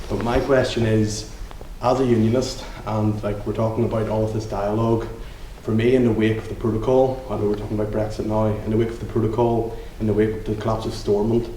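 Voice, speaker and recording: A man with a Northern Irish accent talks very fast in a fairly low, flat monotone, with audible room echo and noticeable background noise. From Northern Ireland, County Down. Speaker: audience member, young unionist. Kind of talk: audience question. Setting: live event with audience.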